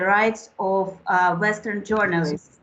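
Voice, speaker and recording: The speaker is a woman. She talks in a Russian accent. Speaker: journalist and human rights defender. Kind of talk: formal speech at a meeting. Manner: formal.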